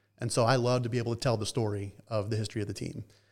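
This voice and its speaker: In a very clean recording with a silent background, a man with an American accent and a normal speaking voice speaks with fairly even intonation. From US South, Atlanta, Georgia. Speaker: baseball team historian. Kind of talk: interview conversation.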